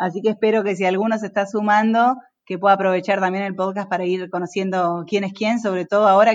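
A woman's medium-pitched, flat, monotone voice in a Rioplatense accent, very fast and with hardly any pauses. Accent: Argentine Spanish (rioplatense). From Argentina, Entre Ríos. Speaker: construction company director. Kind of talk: casual interview.

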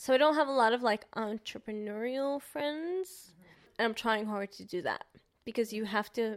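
Over a very clean recording with a silent background, a woman with an American accent speaks at a moderate pace. She has an unremarkable speaking voice, a fairly high pitch, and ordinary pitch variation. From New York. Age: 20s. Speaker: photographer and videographer. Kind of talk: casual chat.

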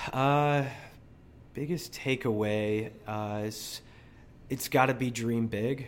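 At a very slow pace with long, frequent pauses, a man speaks at a medium pitch with fairly even intonation. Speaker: gym member, marathon runner. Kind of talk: casual interview.

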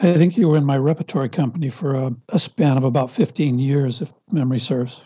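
A man with an American accent talks at a fairly quick pace. His voice is fairly high-pitched and somewhat breathy, with ordinary pitch variation. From Los Angeles, US. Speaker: film writer and director. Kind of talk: casual interview conversation.

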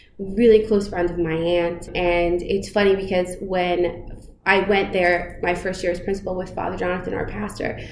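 With an American accent, a woman of medium pitch speaks at a moderate pace and fairly even intonation. Audible room echo and noticeable background noise are present. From New York, the Bronx and southern Westchester. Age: 30s. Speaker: school principal. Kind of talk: interview. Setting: principal's office.

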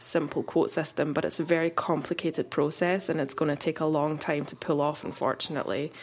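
The speaker has a Glasgow accent. The pace is fairly quick. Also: woman. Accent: Scottish (Glasgow). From Glasgow, Scotland. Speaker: photographer and insurance founder. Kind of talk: casual interview.

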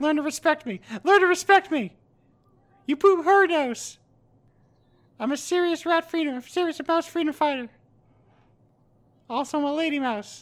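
A put-on character voice at a moderate pace, broken by long, frequent pauses. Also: woman, extremely high pitch for a woman. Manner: earnest, defiant.

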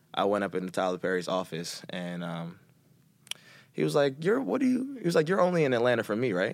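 Speaking very fast in an American accent, a man with a fairly low pitch makes very wide pitch swings on a very clean recording with a silent background. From Philadelphia. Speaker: actor and fitness instructor. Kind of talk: casual interview.

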